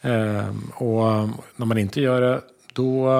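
This man's voice sits at a medium pitch. It rises and falls in an ordinary way. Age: 50s. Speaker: construction tradesman and podcast co-host. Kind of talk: casual chat.

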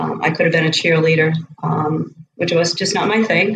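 The speaker has a Boston accent. The pace is fairly quick. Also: woman. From South Boston, Massachusetts. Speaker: college running coach. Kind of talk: interview conversation.

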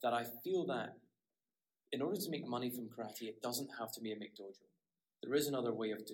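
In a northeast Scottish accent, the speaker talks at a very fast pace with long, frequent pauses, big swings in loudness and ordinary pitch variation. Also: man, medium pitch for a man. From Scotland, Aberdeen (northeast). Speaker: karate practitioner and blogger. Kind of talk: interview conversation.

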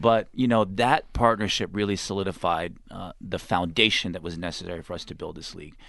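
Against a quiet background, a man with an American accent talks very fast in a very deep, low voice with fairly even intonation. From Texas. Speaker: sports league executive. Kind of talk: radio interview. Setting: studio.

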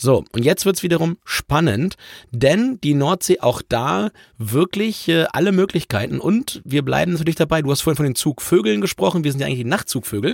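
A man speaks with very wide pitch swings. The recording is very clean with a silent background and a dry, close sound with no echo. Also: fairly high pitch for a man, moderate pace. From southern Lower Saxony. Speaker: travel podcast host. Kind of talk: casual chat.

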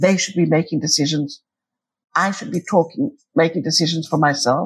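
A woman speaks at a fairly quick pace in a fairly low, somewhat breathy voice. Her pitch varies in an ordinary way. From Cyprus. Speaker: peacebuilder and podcaster. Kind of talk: interview conversation.

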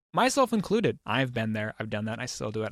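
An ordinary speaking voice: a man with an American accent and a medium pitch talks at a fairly quick pace. The recording is very clean with a silent background, dry and close with no echo. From Oregon, US (St. Helens). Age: 30s. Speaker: designer and meme creator. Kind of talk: casual interview.

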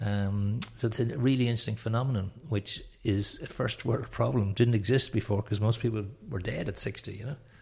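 Speaking at a fairly quick pace with a Dublin accent, a man uses a medium pitch and fairly even intonation in a somewhat breathy voice. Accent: Irish (Dublin). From Ireland, Dublin. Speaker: networking trainer and company founder. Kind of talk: interview.

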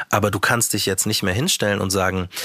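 A man's fairly low, monotone voice with flat intonation over noticeable background noise. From Bavaria, small town near Munich. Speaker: rapper and radio presenter. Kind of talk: casual interview.

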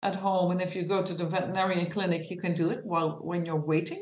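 A woman's medium-pitched voice with a Dutch accent and audible room echo. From Netherlands. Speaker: animal behavior consultant and trainer. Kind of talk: interview.

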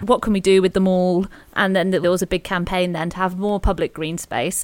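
A woman speaks at a fairly quick pace with a British accent. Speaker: podcast host. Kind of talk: casual conversational history chat.

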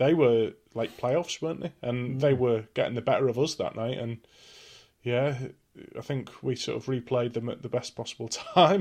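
Here is a man with a normal speaking voice at medium pitch. He talks at a moderate pace with ordinary pitch variation. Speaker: podcast co-host. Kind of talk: casual chat.

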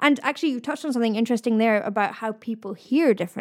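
A woman speaks at a very fast pace with a fairly high pitch. Her pitch varies in an ordinary way. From eastern Scotland. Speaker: vocal expert and channel host. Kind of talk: casual chat.

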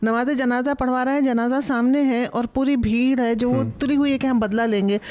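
A woman's high-pitched voice, fairly even in intonation, at a moderate pace over noticeable background noise. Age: 60s. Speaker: historian and author. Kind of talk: panel discussion.

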